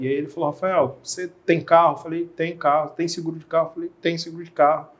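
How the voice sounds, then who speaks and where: A man speaks with a Rio de Janeiro accent. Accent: carioca. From Rio de Janeiro, Brazil. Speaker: insurance specialist. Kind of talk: podcast interview. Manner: casual, conversational.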